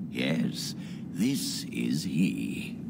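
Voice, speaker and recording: Over loud background noise, a man talks in a put-on character voice. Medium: video game. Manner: measured, warm.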